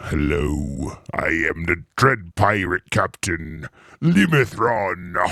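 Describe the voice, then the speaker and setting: Using a put-on character voice, a man speaks at a very slow pace in a very deep, low pitch. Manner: theatrical, swaggering.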